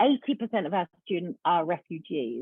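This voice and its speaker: With a British accent, a woman speaks at medium pitch and a fairly slow pace. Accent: British accent, noticeable. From UK. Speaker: education nonprofit founder. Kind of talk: presentation.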